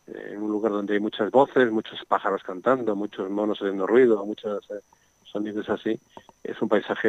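Speaking with a Madrid accent at a moderate pace, a man uses a fairly low pitch and monotone, flat intonation, with big swings in loudness. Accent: Castilian Spanish (Madrid). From Madrid, Spain. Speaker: nature sound recordist and author. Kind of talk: radio interview.

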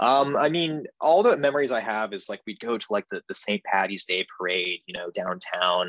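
A man with an American accent, medium in pitch, at a moderate pace with very wide pitch swings and hardly any pauses, in a dry, close sound with no echo. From San Diego, California. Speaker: podcast guest, musical theatre actor. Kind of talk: casual chat.

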